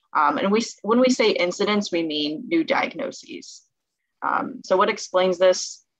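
A woman speaks with a Californian accent and very wide pitch swings. The sound is dry with no echo, over a quiet background. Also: fairly slow pace. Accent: Californian American English. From Southern California. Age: 20s. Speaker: medical student; presenter. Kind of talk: presentation. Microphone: webcam.

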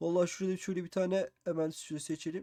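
On a very clean recording with a silent background, a man speaks. His voice is high in pitch with a dark, mellow tone. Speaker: Minecraft YouTuber. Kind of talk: gameplay commentary. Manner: animated.

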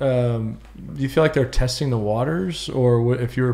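A man's speech runs at a fairly quick pace, his pitch varying in an ordinary way. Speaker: podcast host. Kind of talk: casual interview. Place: meeting room. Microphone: studio mic.

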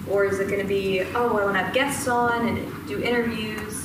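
A woman speaks at a moderate pace. Loud background noise and audible room echo are present. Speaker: presenter. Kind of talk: lecture. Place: classroom. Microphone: camera far.

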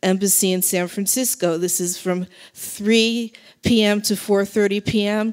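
Against a quiet background, a woman talks with fairly even intonation. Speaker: speaker. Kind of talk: public speech. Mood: earnest, urgent. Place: hall. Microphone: handheld.

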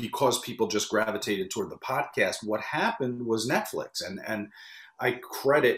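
A man with an American accent talks at a moderate pace. The background is quiet, though room echo is audible. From US Northeast (New York area). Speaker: wrestling interview producer. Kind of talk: interview. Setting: video call. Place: home room.

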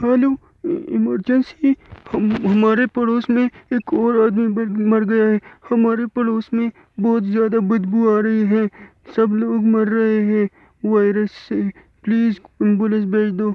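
A man does a high-pitched cartoonish character voice, flat and monotone, at a fairly slow pace with long, frequent pauses. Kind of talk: comic cartoon dub. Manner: urgent, pleading.

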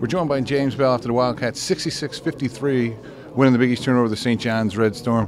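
Over faint background noise, a man with a medium pitch speaks at a fast pace with ordinary pitch variation.

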